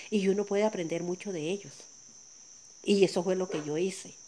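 A woman talks at a fairly quick pace with a medium pitch. Her intonation stays fairly even. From Colombia, Sierra Nevada de Santa Marta. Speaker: coffee farmer. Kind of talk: testimony. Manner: laughs easily and loudly.

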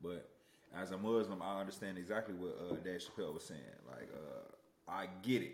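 Speaking at a fairly quick pace with an American accent, a man uses a fairly low pitch and ordinary pitch variation, with audible room echo around him. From US Midwest, Aurora, Illinois. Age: 30s. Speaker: podcast co-host, musician and producer. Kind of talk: casual chat.

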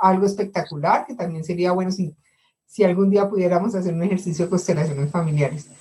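A woman speaks at medium pitch in a dark, mellow tone that is somewhat breathy. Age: 60s. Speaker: course participant. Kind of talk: audience question.

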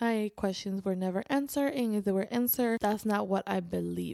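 A woman speaks at a medium pitch with a Spanish accent. Her tone is dark and mellow. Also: very clean recording, silent background. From Spain. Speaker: podcaster and convert to Islam. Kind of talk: personal storytelling monologue.

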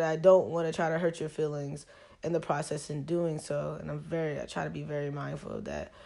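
A woman with a normal speaking voice and a fairly low pitch, over a quiet background. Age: 20s. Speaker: podcast host. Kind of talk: solo podcast monologue. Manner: casual, with frequent fillers.

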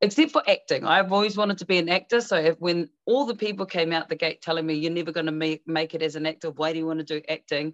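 Over a quiet background, a woman with a New Zealand accent speaks fairly quickly at a fairly low pitch with fairly even intonation, the sound dry and close with no echo. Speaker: actress, singer and life coach. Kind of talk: casual interview.

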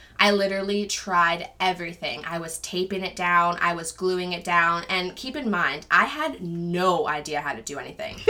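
Amid noticeable background noise, a woman talks in an animated tone at a fairly low pitch and a moderate pace, with ordinary pitch variation and hardly any pauses. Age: 20s. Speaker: stay-at-home mom sharing her alopecia experience. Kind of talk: casual interview chat. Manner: animated storytelling.

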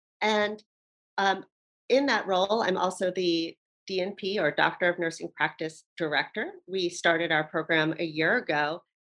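A woman speaks in a fairly low pitch with ordinary pitch variation and very even loudness. She has an ordinary speaking voice at a moderate pace. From US, Baltimore, Maryland. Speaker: nurse practitioner and nursing educator. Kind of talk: interview.

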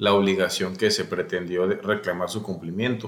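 A man's fairly low voice at a moderate pace. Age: 30s. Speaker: lawyer. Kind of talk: interview.

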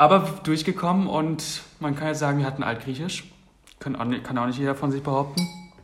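Noticeable background noise and audible room echo around fairly quick talk with ordinary pitch variation. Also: man. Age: 20s. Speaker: podcast co-host. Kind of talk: casual chat.

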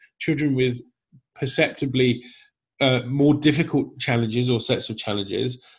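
A man speaks in a somewhat breathy voice, pitched fairly high. The background is quiet. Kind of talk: casual interview. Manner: animated, enthusiastic.

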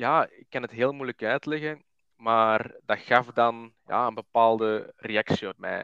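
A man with a Flemish accent speaks in a bright, sharp tone with fairly even intonation, in a dry, close sound with no echo and a quiet background. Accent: Flemish (Belgian Dutch). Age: 20s. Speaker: podcaster talking about his anxiety. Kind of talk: casual chat. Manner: halting, many fillers.

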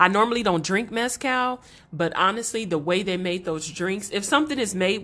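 A woman with an American accent has an ordinary speaking voice at a medium pitch. She talks at a fairly quick pace with lively intonation against a quiet background. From Los Angeles. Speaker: podcast co-host. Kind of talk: casual chat.

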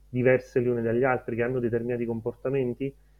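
The speaker is a man. His pitch is medium. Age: 30s. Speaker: data science educator. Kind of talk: interview.

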